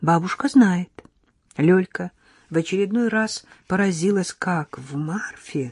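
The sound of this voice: This is an unforced reading voice. Pitch varies in an ordinary way.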